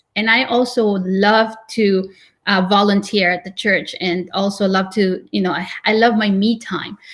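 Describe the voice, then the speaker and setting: With a non-native accent, a woman speaks fairly slowly at a medium pitch with fairly even intonation. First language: not English. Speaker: real estate agent, team leader. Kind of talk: interview.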